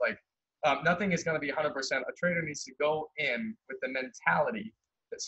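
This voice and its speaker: Over a quiet background, a man talks in a fairly high pitch with lively intonation and a bright, sharp tone. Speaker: trading webinar host. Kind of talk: webinar lecture. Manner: fast talker.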